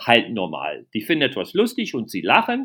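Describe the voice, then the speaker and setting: This man has an English accent and talks at a moderate pace. His intonation is lively. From USA. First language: English (speaking German). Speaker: comedian. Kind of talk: casual interview.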